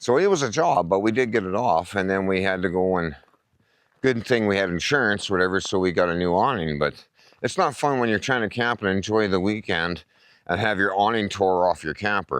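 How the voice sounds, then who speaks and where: Against a quiet background, a man speaks in an Albertan accent. His pitch is fairly low, with ordinary variation. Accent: Canadian (Alberta). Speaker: camping vlogger. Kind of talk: casual vlog talk. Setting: outdoors at campground. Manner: conversational with many fillers.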